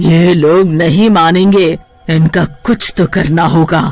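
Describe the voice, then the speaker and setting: A man's high-pitched, cartoonish character voice at a very slow pace, with music in the background. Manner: haughty, threatening.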